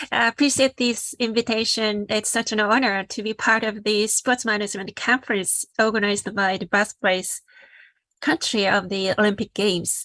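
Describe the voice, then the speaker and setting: Speaking with a Japanese accent, a woman uses a fairly high pitch and ordinary pitch variation in a dry, close sound with no echo. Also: moderate pace, very clean recording, silent background. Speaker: social entrepreneur, sport for development founder. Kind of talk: panel presentation.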